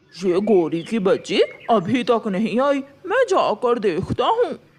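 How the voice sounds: A man speaks in a cartoonish character voice at an extremely high pitch. His pace is fairly slow.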